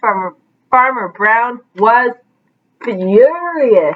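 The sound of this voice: A woman speaks at a very slow pace in a fairly high voice. Her intonation is lively.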